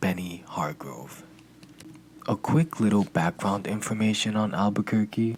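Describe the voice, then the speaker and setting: Soft-spoken, with a slight non-native accent, the speaker talks at a fairly slow pace. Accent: slightly non-native pronunciation. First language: not English. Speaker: true crime podcaster. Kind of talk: scripted narration.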